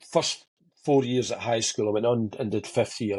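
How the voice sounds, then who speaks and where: With a Scottish accent, a somewhat breathy man talks at a fairly quick pace with fairly even intonation over a quiet background. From Motherwell, Scotland. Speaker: TV director, radio DJ, bass player. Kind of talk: podcast interview answer.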